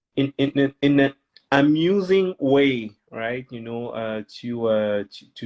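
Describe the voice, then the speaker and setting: A man with a French accent is speaking. His pace is very slow. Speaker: children's author. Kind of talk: interview. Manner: halting, many fillers.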